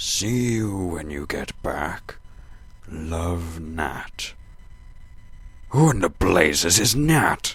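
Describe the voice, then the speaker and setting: A man's put-on character voice, very deep and low in pitch, at a very slow pace with long, frequent pauses. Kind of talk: audio drama dialogue. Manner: pompous.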